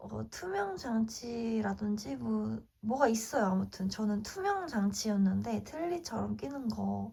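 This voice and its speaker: Speaking very slowly, a woman barely pauses at all. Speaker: lifestyle vlogger. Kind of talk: casual vlog talk to camera.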